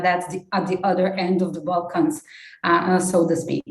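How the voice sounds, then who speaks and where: This woman has a Slovenian accent and a medium pitch. She speaks at a moderate pace. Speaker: development project team leader and civil society activist. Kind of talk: conference talk. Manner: halting, many fillers.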